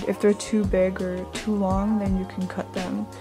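A woman talks with clear background music playing. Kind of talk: casual vlog chat.

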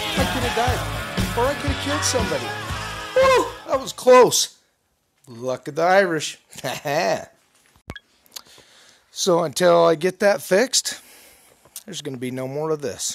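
A man talks at a moderate pace, leaving long, frequent pauses. Music plays in the background. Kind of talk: casual vlog chat. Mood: playful, relieved. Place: home room. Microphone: phone near.

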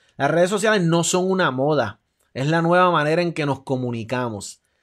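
This man's fairly high voice rises and falls in a lively way at a moderate pace, with a quiet background behind him. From Puerto Rico. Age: 40s. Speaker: athletic recruiting advisor and show host; show host. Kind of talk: live stream talk show. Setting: home room, live stream. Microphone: webcam.

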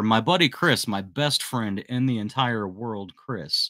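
A man speaks fairly slowly in a medium-pitched voice with a bright, sharp tone. His pitch varies in an ordinary way, and the background is quiet. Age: 40s. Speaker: handyman business youtuber. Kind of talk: live stream chat. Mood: warm, reflective. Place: home room. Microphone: studio mic.

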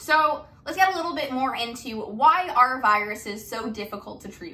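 A woman's pitch swings very widely. Light background noise sits behind her. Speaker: biology tutor. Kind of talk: lecture. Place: home room. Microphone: camera far.

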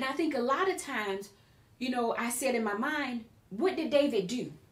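A woman's high-pitched voice at a moderate pace, with audible room echo. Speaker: preacher / Bible teacher. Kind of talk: sermon-style Bible teaching in conversation. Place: studio.

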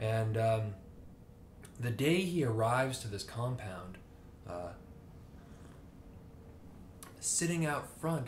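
A somewhat breathy man at a fairly slow pace, with light background noise. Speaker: book reviewer. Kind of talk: casual vlog chat. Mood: relaxed, conversational. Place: home room.

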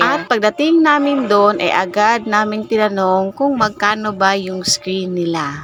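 A woman with a Visayan accent, fairly high in pitch with lively intonation, over noticeable background noise. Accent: Visayan accent when speaking Tagalog. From Visayas, Philippines. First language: Cebuano (Bisaya) (speaking Tagalog). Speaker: vlogger. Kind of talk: voice-over narration of a vlog.

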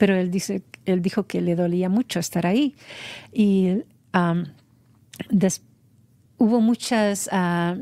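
A woman speaks at a very slow pace with ordinary pitch variation and a dark, mellow tone, the sound dry with no echo. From Honduras, San Pedro Sula; Honduras. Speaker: mother of a singer; interview guest. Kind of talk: interview testimony. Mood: reflective, emotional personal story. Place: studio. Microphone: studio mic.

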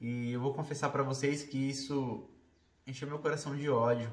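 The voice is somewhat breathy, with ordinary pitch variation and a fairly slow pace. Room echo is audible. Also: man. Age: 30s. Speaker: vlogger; bodybuilder. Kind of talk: casual talk to camera. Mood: earnest, reflective. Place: home room. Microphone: phone near.

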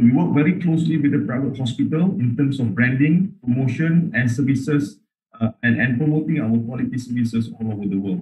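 Against a quiet background, a somewhat breathy voice with a dark, mellow tone moves at a fairly quick pace with lively intonation. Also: man. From Malaysia. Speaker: healthcare travel council chief executive. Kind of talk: webinar presentation. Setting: video call. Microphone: video call.

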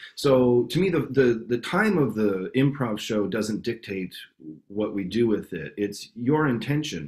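Against a quiet background, the speaker goes at a fairly slow pace. The intonation is lively, in a Canadian accent. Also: man, medium pitch for a man. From Canada, Winnipeg. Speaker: improv actor and teacher. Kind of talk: interview answer.

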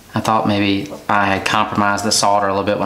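A man is speaking. Room echo can be heard. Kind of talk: tutorial. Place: bathroom. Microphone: phone near.

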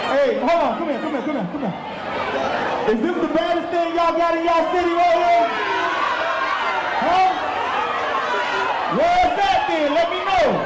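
Crowd noise fills the background as a man talks at a moderate pace with ordinary pitch variation and long, frequent pauses. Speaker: stage host or hype man. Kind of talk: crowd hype on stage mic. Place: bar.

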